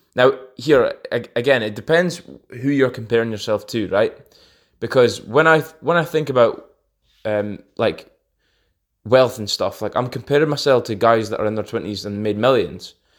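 In a very clean recording with a silent background, the speaker talks with a Scottish accent. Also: man, medium pitch for a man, ordinary pitch variation, moderate pace. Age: 20s. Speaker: podcast host. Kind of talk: casual monologue.

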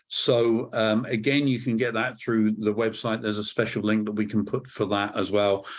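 Speaking at a moderate pace with a British accent, a man keeps a fairly low pitch, fairly even intonation and very even loudness. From Scotland, British. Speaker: church media consultant, former TV executive. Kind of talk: casual interview conversation. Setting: remote recording.

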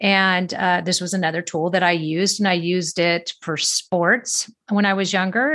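A woman speaks at a moderate pace and medium pitch with a Californian accent, recorded very cleanly against a silent background. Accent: Californian American. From US, Southern California. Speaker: wellness podcast host. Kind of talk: solo podcast monologue. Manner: casual, conversational with fillers.

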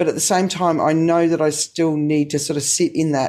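A woman with an Australian accent speaks in a very deep, low voice with a dark, mellow tone and flat, monotone intonation. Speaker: podcast host. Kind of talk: casual interview.

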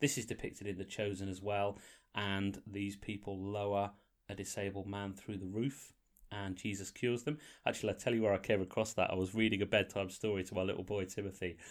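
Over a silent background on a very clean recording, a man with a slight northern English accent talks at a fairly quick pace, with fairly low pitch and fairly even intonation. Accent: slightly northern English, formerly posh. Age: 40s. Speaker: podcast host. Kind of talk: casual chat. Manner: banterful, jokey.

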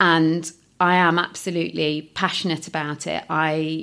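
A woman speaks in a fairly low pitch with a flat, monotone delivery, recorded very cleanly against a silent background. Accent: East Midlands. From Nottingham, England. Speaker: recruitment business owner. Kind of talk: interview.

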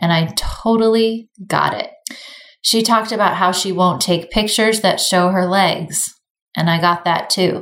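At a fairly slow pace, a woman speaks in a normal speaking voice at medium pitch with fairly even intonation. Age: 40s. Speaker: podcast host and beauty business founder. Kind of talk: casual chat; reading aloud.

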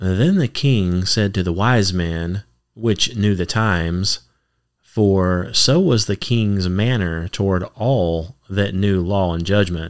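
On a very clean recording with a silent background, a man with a fairly low pitch talks at a very slow pace with ordinary pitch variation. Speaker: podcast host and ministry reader. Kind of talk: scripture reading aloud. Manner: slow, easy-listening pace.

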